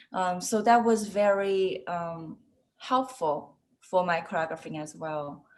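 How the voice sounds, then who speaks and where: In a Chinese accent, a woman speaks at a very slow pace, her medium pitch showing ordinary variation. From China, Shanghai. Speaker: ballet dancer and choreographer. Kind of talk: interview. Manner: halting, many fillers.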